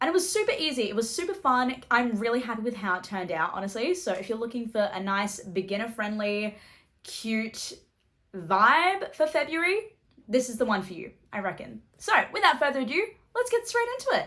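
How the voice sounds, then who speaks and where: A woman with an Australian accent speaks at a fairly quick pace, her high pitch swinging very widely in a bright, sharp tone. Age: 20s. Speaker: journaling YouTuber. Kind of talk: tutorial. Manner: animated.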